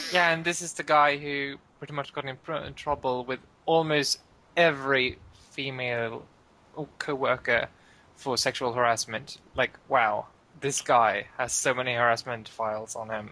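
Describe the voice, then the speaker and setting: With a slight Swedish accent, a man speaks at a medium pitch and moderate pace in a bright, sharp tone with fairly even intonation. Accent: Swedish, usually slight. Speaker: podcast co-host. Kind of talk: casual chat.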